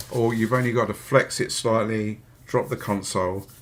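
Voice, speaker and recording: Relaxed in tone, this voice carries a Hampshire accent and keeps a fairly even intonation. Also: man. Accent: Hampshire accent, comes through somewhat. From southern England, Hampshire. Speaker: electronics repair youtuber. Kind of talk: live repair stream tutorial. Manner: casual, relaxed.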